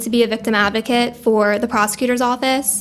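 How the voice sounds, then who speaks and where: With a New Jersey accent, a woman speaks at a fairly high pitch in a monotone, flat way. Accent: New Jersey American. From Monmouth County, New Jersey. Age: 20s. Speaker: paralegal. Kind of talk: casual interview chat.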